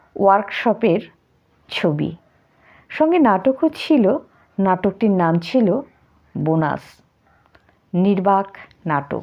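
Medium-pitched woman's voice with very wide pitch swings. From North Bengal, India (Mathabhanga, Cooch Behar). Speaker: poetry reciter. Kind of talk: spoken tribute monologue.

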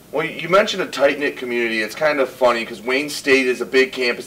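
A man's very fast speech. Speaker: college radio interviewer. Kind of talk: interview question.

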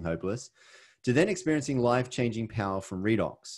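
Lively in intonation, a man talks at a fairly quick pace in a fairly low pitch. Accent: Australian. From Australia, Sydney. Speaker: network marketing presenter. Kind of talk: webinar presentation. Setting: video call.

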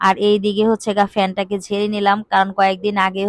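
A woman's medium-pitched voice in monotone, flat intonation, with a dry, close sound and no echo. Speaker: homemaker vlogger. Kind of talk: casual vlog narration.

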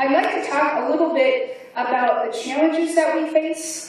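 A woman at a fairly slow pace with ordinary pitch variation, in strong room echo. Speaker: keynote speaker. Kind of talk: keynote speech. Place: hall.

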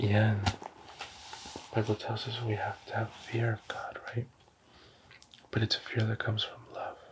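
Whispering and soft-spoken, a man talks at a fairly slow pace over noticeable background noise. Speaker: ASMR creator. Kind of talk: ASMR roleplay. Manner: whispered, soft-spoken. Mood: earnest, calm, religious. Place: home room. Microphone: studio mic.

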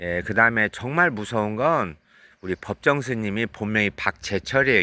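A man's fairly low voice with a bright, sharp tone, lively intonation and a fairly slow pace, on a very clean recording with a silent background. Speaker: vlogger and spiritual counselor. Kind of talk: vlog monologue. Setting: outdoors, at a sauna parking lot.

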